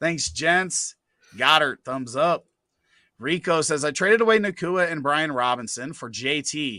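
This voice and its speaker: Loud and fairly high-pitched, a man speaks at a fairly slow pace with lively intonation and a bright, sharp tone against a quiet background. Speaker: fantasy football show host. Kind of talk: live Q&A stream. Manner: animated.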